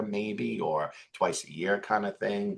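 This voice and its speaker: A man speaks with a Bronx accent. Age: 40s. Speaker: financial advisor. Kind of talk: interview conversation.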